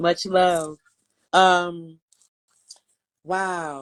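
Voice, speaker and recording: A woman speaks in a fairly low pitch. The sound is dry and close, with no echo. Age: 50s. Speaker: poet. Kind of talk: casual chat. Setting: video call.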